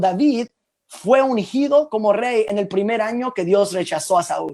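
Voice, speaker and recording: A man talks at a fairly slow pace with a high pitch and ordinary pitch variation. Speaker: preacher. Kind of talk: sermon. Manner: halting.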